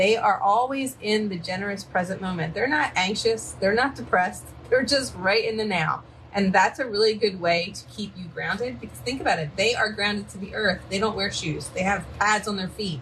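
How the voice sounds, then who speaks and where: Someone with a Philadelphia accent talks at a moderate pace with lively intonation. The loudness swings widely. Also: woman. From Philadelphia, US. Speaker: psychic medium. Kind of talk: live-stream card reading. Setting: live stream from home by a river, dogs present. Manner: casual, chatty.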